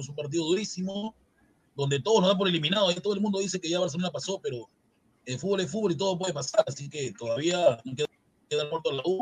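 A man talks at a very fast pace in a high voice. His pitch varies an ordinary amount. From Peru, Chincha (Ica region). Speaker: football panelist. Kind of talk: casual football debate. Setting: live stream.

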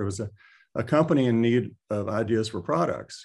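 A man with a Texan accent, medium pitch and ordinary pitch variation, against a quiet background. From central Texas (Taylor). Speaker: retired orthopaedic surgeon. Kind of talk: interview.

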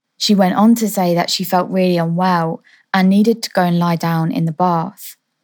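An unremarkable speaking voice comes from a woman at a medium pitch. She keeps a moderate pace and fairly even intonation on a very clean recording with a silent background. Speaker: podcast host. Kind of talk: true-crime narration, storytelling read with suspense. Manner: measured, serious, steady pacing building suspense.

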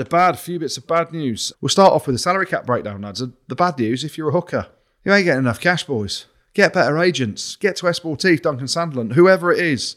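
A man with an English accent speaks at a fairly quick pace and a fairly high pitch, his intonation lively. The recording is very clean, with a silent background. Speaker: rugby podcast co-host, former player. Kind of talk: casual chat.

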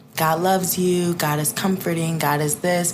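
In an American accent, a woman speaks with fairly even intonation. Room echo is audible. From US Midwest, south suburbs of Chicago. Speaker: podcast guest, content creator. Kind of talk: casual chat.

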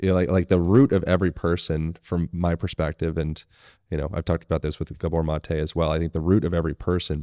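A man's very deep, low, dark and mellow voice with ordinary pitch variation, at a moderate pace, dry and close with no echo, against a quiet background. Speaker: movement coach and manual therapist. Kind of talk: casual interview conversation. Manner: energetic; animated.

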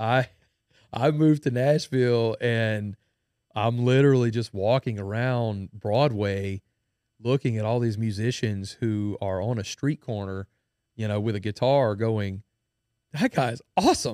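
Speaking with a Louisiana accent, a man uses a dark, mellow tone at a medium pitch and a fairly slow pace, with ordinary pitch variation. The sound is dry and close with no echo, on a very clean recording with a silent background. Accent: Southern US (Louisiana). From Louisiana, Denham Springs. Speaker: country musician. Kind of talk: casual chat. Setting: studio.

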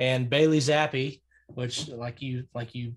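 A man of medium pitch speaks in a somewhat breathy voice with an American accent. His intonation is fairly even, and the background is quiet. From Oklahoma, Tulsa area. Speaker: college sports podcaster. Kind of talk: casual chat.

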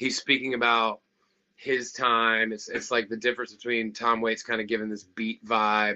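An unremarkable speaking voice from a man with an American accent, medium in pitch and moderate in pace. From US South. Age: 30s. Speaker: rock musician. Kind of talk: casual chat.

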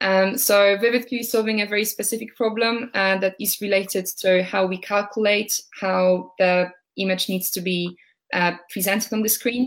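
A woman with a Polish accent speaks at medium pitch and a moderate pace, her intonation fairly even. The recording is very clean, with a silent background. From Poland, Warsaw. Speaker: startup founder. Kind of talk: interview.

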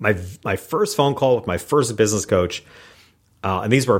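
A man with an American accent and an ordinary speaking voice, talking at a fairly quick pace with lively intonation. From US Northeast, rural upstate New York. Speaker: keynote speaker and small business coach. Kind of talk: interview.

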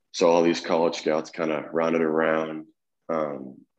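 A man speaks at a very deep, low pitch with vocal fry. His pace is moderate. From Tennessee, near Memphis. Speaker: college baseball player. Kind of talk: casual interview.

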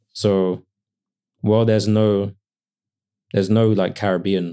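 A man with a London accent speaks at a moderate pace in a dark, mellow tone, his intonation flat and monotone. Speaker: writer and cookbook author. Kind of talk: casual interview chat.

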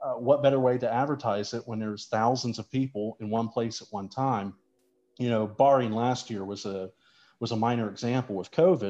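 Against a quiet background, a man with an American accent talks at a fairly quick pace in a dark, mellow tone, medium in pitch with fairly even intonation. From West Virginia, St. Mary's. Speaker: sports broadcaster. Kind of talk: casual interview.

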